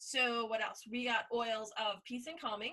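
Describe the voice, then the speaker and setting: This is a woman's voice. Its tone is bright and sharp. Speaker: dog groomer and essential oil seller. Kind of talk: sales pitch. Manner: fast.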